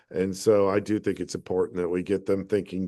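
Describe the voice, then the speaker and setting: Over a quiet background, a man talks at a very fast pace. His tone is dark and mellow, his pitch very deep and low, and his intonation monotone and flat. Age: 50s. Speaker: art teacher. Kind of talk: reflective monologue. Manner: halting, many fillers.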